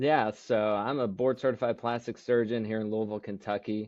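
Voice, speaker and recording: A man talks at a fairly quick pace in a fairly low pitch, with fairly even intonation. He has an ordinary speaking voice. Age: 40s. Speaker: plastic surgeon. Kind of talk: podcast interview.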